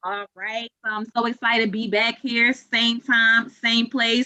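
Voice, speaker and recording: Recorded dry and close with no echo, a woman speaks with fairly high pitch and a bright, sharp tone. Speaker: club president. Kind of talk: club meeting closing remarks. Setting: video call. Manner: slow.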